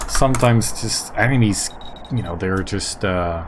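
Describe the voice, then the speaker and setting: Noticeable background noise and audible room echo surround a man speaking at a fairly slow pace with a fairly low pitch. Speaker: gaming YouTuber. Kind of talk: gameplay commentary. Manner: halting, many fillers.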